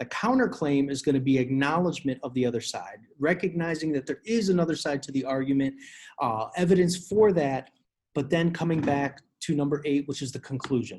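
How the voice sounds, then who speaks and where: Over light background noise, a man talks at a fairly quick pace with a fairly high pitch. His voice is somewhat breathy, with ordinary pitch variation. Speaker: teacher. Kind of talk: tutorial. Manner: fast. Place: home room. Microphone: webcam.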